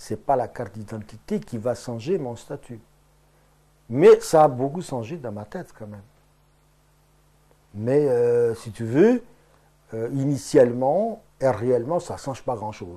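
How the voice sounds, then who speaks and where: Very slowly and with long, frequent pauses, a man with a Portuguese accent speaks at a medium pitch in a dark, mellow tone, his loudness swinging widely. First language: Portuguese (speaking French). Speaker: Portuguese immigrant interviewee. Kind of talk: interview. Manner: hesitant, many fillers.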